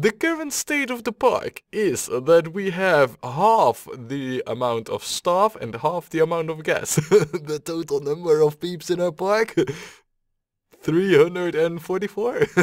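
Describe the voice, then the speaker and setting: The sound is close and dry, without any echo. A man talks at a high pitch. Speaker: gaming video creator. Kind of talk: gameplay commentary. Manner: casual, hesitant with fillers.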